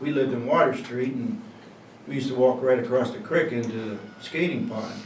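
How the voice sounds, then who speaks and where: Speaking fairly quickly in a central Pennsylvania accent, a man with a medium-pitched voice comes through noticeable background noise and audible room echo. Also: ordinary pitch variation. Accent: central Pennsylvania American. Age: 60s. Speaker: local resident interviewee. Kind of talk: oral history interview. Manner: casual, hesitant.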